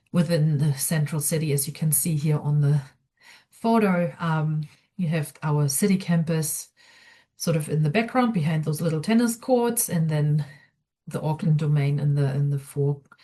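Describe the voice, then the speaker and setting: A woman with a very deep, low pitch speaks at a moderate pace with ordinary pitch variation. Her tone is dark, mellow and somewhat breathy. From outside New Zealand. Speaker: student experience coordinator. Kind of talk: online information session presentation. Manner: hesitant, many fillers.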